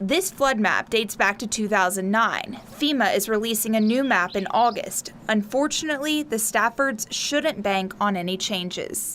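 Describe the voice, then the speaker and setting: Hardly pausing, a woman talks at a fairly high pitch with ordinary pitch variation over noticeable background noise. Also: moderate pace. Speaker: television news reporter. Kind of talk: television news package narration.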